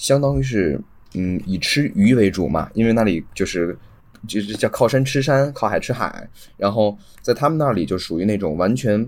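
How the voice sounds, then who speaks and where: A man with a plain, everyday voice, moderate pace and lively intonation. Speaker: podcast host (guest). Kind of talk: casual chat. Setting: online call recording.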